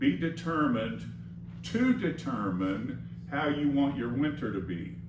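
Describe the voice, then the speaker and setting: Fairly slow male speech with noticeable noise in the background and audible echo from the room. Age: 70s. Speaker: preacher. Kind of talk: sermon. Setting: church. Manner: conversational.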